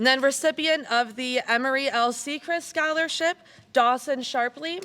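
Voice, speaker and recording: In an American accent, a woman uses a raised, projected voice with a high pitch, a bright, sharp tone, ordinary pitch variation and a moderate pace. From US Midwest, Michigan. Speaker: community foundation director. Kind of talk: award ceremony speech. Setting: school gymnasium with audience, PA system. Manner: loud.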